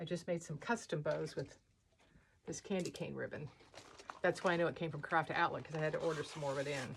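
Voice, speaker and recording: The somewhat breathy delivery runs at a very fast pace with ordinary pitch variation. Long, frequent pauses break it up. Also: woman, very deep, low pitch for a woman. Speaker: wreath and holiday decor designer. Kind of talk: craft tutorial. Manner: casual, chatty.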